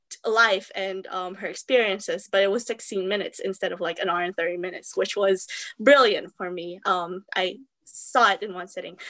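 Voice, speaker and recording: Her tone bright and sharp, a woman talks at a moderate pace and medium pitch. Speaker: freelance journalist and reviewer. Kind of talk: casual panel discussion. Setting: video call. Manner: hesitant, filler words.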